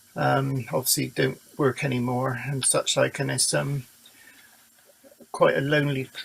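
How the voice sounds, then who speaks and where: A man talks fairly slowly, pausing long and often, while noticeable background noise carries on. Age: 60s. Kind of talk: recorded video message. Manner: halting, stumbling.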